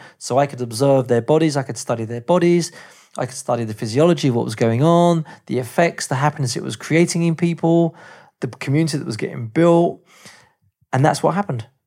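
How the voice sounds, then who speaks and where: On a very clean recording with a silent background, a man with an English accent talks at a very fast pace with ordinary pitch variation. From England. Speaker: movement teacher. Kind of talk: interview storytelling.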